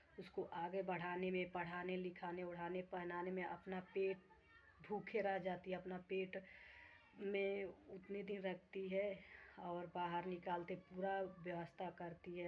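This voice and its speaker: A woman speaks at a medium pitch in a flat, monotone delivery and at a very slow pace. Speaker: vlogger. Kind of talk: casual vlog talk to viewers.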